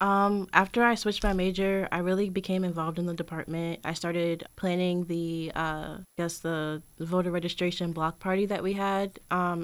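A woman talks at a moderate pace with a fairly low pitch. The recording is very clean, with a silent background. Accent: American. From Richmond, Virginia. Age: 20s. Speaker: student fellow. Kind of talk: interview.

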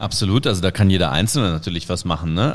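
A man speaks at a fairly quick pace. His pitch is very deep and low. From Germany, Cologne. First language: Indonesian (speaking German). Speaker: football commentator. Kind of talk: casual interview. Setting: video call.

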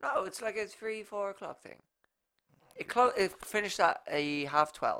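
The speaker has an Irish accent. The pace is moderate. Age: 20s. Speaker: podcast host. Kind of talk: casual chat. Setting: studio, video recording.

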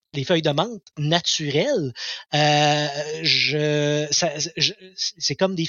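With ordinary pitch variation, a man speaks at a fairly high pitch. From Quebec, Abitibi. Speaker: community radio host. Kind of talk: casual chat. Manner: halting, repeats words.

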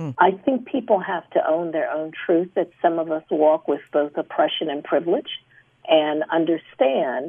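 This is an unremarkable speaking voice: a woman with a fairly low pitch and an American accent. She talks at a moderate pace with ordinary pitch variation. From Chicago. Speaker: anthropologist and former university president. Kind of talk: panel discussion. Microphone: poor sound quality.

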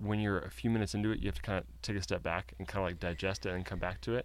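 A man speaks with a fairly low pitch. His voice has vocal fry. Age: 20s. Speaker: podcast host and comedian. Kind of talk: scripted narration; casual interview chat.

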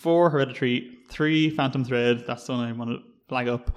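In a Dublin accent, a man speaks at medium pitch with ordinary pitch variation. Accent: Irish, Dublin. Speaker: film podcast host. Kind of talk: casual chat.

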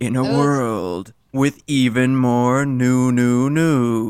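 Speaking very slowly, a man puts on a character voice at medium pitch with fairly even intonation. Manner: dramatic.

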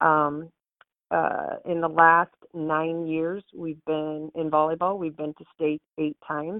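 With a very deep, low pitch, a woman speaks at a very slow pace in a monotone, flat delivery. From Nebraska, small town. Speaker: school principal. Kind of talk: casual interview. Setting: phone call.

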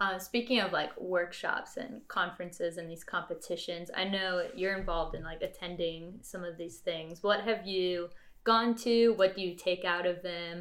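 In an ordinary speaking voice, a woman talks at a moderate pace and medium pitch with fairly even intonation, big swings in loudness and hardly any pauses. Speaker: podcast host. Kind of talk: casual interview.

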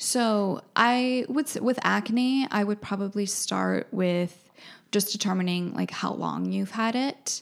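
A woman with an American accent speaks very slowly at a medium pitch, with ordinary pitch variation. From New Brunswick, Canada, then Wisconsin from age ten. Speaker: holistic skincare practitioner. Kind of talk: casual interview.

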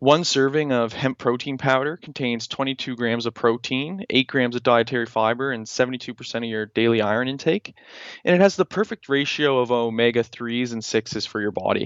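A man talks at a fairly quick pace with hardly any pauses. His is a plain, everyday voice. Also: medium pitch for a man, ordinary pitch variation. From Canada, Nova Scotia (Halifax). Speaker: entrepreneur. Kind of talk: interview.

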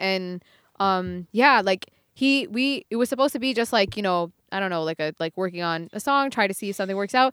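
Very fast speech in a New York accent carries lively intonation, recorded with a dry, close sound and no echo. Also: woman, very clean recording, silent background. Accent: American (New York). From US, New York; raised largely in Buffalo, Western New York. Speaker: musician. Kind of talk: casual chat.

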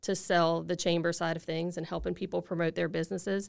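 Her voice fairly low for a woman and marked by vocal fry, she talks at a very fast pace. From Louisiana, Acadiana (Lafayette). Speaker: nonprofit executive. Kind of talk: interview.

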